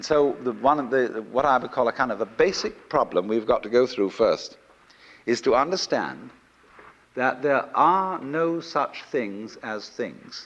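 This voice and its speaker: A man talks at a fairly slow pace. His pitch sits in the medium range and his intonation is lively. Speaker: lecturer. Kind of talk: lecture to a live audience. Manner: soothing.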